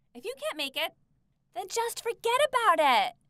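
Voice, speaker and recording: A woman in a put-on character voice climbs to an extremely high pitch and swings very widely up and down. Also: moderate pace. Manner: harsh, angry.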